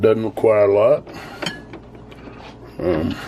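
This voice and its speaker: A man with a Southern US accent talks at a fairly slow pace in a relaxed tone. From US South. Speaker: home cooking video host. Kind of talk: cooking tutorial. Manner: casual, relaxed.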